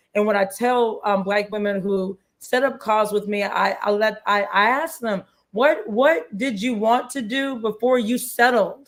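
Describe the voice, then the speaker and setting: A woman's fairly high voice at a fairly slow pace. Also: ordinary pitch variation. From US Midwest, suburban Cleveland, Ohio. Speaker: lawyer and channel host. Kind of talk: live-stream interview wrap-up. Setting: livestream video call. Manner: halting, many repeats.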